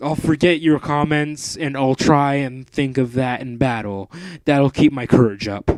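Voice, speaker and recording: A put-on character voice speaks at a moderate pace. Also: man, medium pitch for a man. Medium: read story. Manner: timid.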